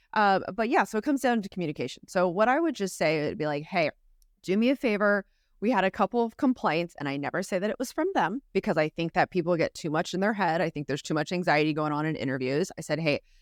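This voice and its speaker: A very fast, medium-pitched woman's voice with lively intonation, on a very clean recording with a silent background and a dry, close sound with no echo. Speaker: recruiter, podcast co-host. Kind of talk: casual podcast chat.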